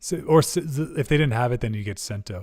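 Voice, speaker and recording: On a very clean recording with a silent background, a man speaks with lively intonation in a somewhat breathy voice. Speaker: podcast guest. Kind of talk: casual chat.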